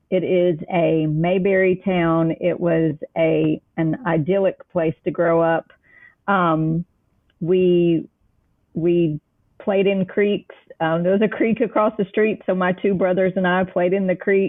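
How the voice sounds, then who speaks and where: A woman with a Tennessee accent speaks at a fairly slow pace. Her voice is medium in pitch, with fairly even intonation and very even loudness. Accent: Southern (Middle Tennessee). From US South, Middle Tennessee. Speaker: children's author. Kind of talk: interview. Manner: casual, uses fillers.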